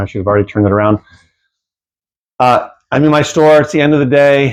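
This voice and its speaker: Very fast and medium in pitch, a man talks with ordinary pitch variation. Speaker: used bookstore owner and reseller. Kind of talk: casual vlog. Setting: in his store. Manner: rushed.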